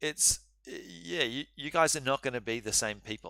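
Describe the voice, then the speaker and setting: A man at a medium pitch with vocal fry, a bright, sharp tone, lively intonation and a moderate pace, in a dry, close sound with no echo. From New Zealand. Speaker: university law lecturer. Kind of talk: live online lecture. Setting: live-streamed online seminar. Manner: casual, halting with many fillers.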